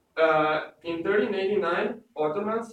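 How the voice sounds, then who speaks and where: A man with a strong Serbian accent speaks at a moderate pace in a high voice. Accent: thick Serbian. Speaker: student presenter. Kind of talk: class presentation. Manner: halting, many fillers.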